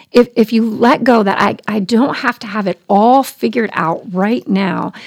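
A woman's fairly high-pitched, fairly slow delivery with ordinary pitch variation, a normal speaking voice. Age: 40s. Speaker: Bible teacher. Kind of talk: casual chat.

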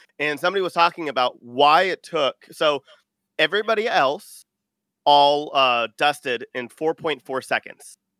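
A man with an American accent has a normal speaking voice, fairly high in pitch with ordinary pitch variation, at a moderate pace. The recording is very clean and dry, close with no echo and a silent background. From Texas, Austin. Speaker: podcaster, guest co-host. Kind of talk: casual chat.

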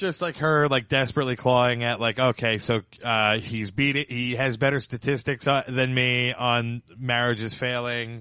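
Speaking at a moderate pace with hardly any pauses, a man in a medium pitch keeps a fairly even intonation in a plain, everyday voice. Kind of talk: casual chat.

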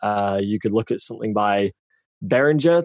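A man with a British accent talks at a fairly quick pace in a fairly low voice, the sound dry and close with no echo. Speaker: audio engineer and voiceover freelancer. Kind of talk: casual chat. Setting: video call.

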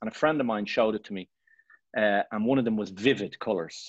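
Against a quiet background, a man with an Irish accent talks at a fairly quick pace and medium pitch, the sound dry and close with no echo. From Ireland. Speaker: photographer. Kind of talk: casual interview chat.

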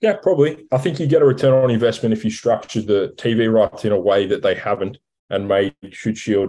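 With an Australian accent, a man speaks at a fairly quick pace in a dark, mellow, medium-pitched voice with lively intonation. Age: 30s. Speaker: rugby commentator and club player. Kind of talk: casual chat.

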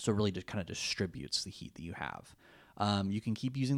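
A man at a very fast pace, in a very clean recording with a silent background. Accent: American. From California. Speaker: podcast co-host. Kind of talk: casual chat.

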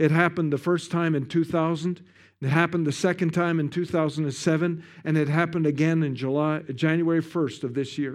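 A man with a western Canadian accent speaks at a moderate pace, his pitch fairly high and his intonation fairly even. The recording is very clean, and the background is silent. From Canada. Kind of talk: sermon. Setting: church with congregation.

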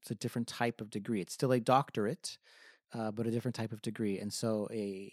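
A man with an American accent speaks in a plain, everyday voice at a medium pitch and moderate pace, recorded very cleanly against a silent background with a dry, close sound and no echo. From Southern California, Riverside County. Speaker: music professor. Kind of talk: interview.

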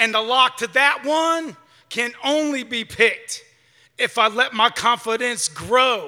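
A man's extremely high, raised and projected voice, bright and sharp in tone, at a very slow pace with ordinary pitch variation. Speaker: poet performing at open mic. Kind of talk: spoken word poetry performance.

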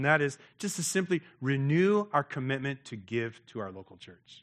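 On a very clean recording with a silent background, a man uses an ordinary speaking voice at a fairly high pitch, moderate pace and lively intonation, the sound dry and close with no echo. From United States. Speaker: missionary pastor. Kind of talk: sermon.

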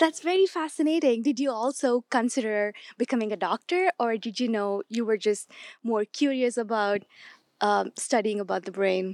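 This woman has an unremarkable speaking voice with a fairly high pitch and lively intonation. She goes at a moderate pace, and the sound is dry and close with no echo. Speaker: interviewer. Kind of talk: interview.

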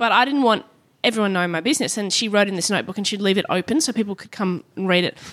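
A woman's voice in an Australian accent, medium in pitch, at a very fast pace with ordinary pitch variation, on a very clean recording with a silent background. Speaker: comedian and TV host. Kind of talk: casual chat.

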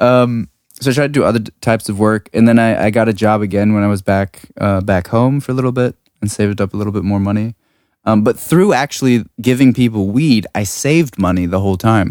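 This man has a normal speaking voice, fairly low in pitch with ordinary pitch variation, in an American accent. The sound is dry and close with no echo, on a very clean recording with a silent background. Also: fairly quick pace. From US, Washington DC. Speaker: music producer and sound designer. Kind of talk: casual chat. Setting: studio.

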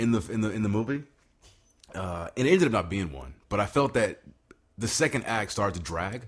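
A man talks at a fairly quick pace in a fairly low, somewhat breathy voice, with lively intonation. Long, frequent pauses break up his speech, and the recording is very clean with a silent background. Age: 30s. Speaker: podcast co-host. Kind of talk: casual chat.

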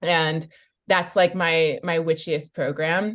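A voice with a Californian accent against a quiet background. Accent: Californian American. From US West Coast (San Francisco Bay Area). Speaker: coach and activist. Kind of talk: interview conversation.

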